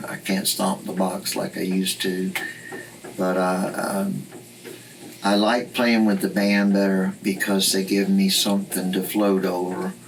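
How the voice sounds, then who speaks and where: A man with a Southern US accent speaks fairly slowly in a fairly low voice. His intonation is monotone and flat, against noticeable background noise. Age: 70s. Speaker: blues guitarist and singer. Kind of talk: interview.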